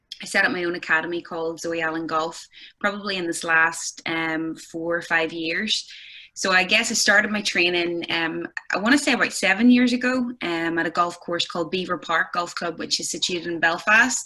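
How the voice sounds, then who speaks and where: With a Northern Irish accent, a woman speaks at a moderate pace in a fairly low pitch with ordinary pitch variation. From Northern Ireland, County Armagh. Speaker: golf instructor. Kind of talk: casual chat. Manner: hesitant, many fillers.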